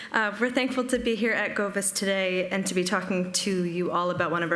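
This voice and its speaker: A woman with an American accent at a fairly quick pace, with audible room echo and noticeable background noise. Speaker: digital preservation analyst. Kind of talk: conference presentation. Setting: stage with audience, streamed.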